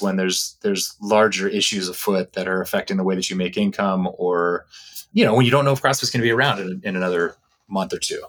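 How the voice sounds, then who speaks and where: With an American accent, a man speaks very fast with ordinary pitch variation. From Texas. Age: 40s. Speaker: former sports event host, athlete agent. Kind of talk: casual interview chat.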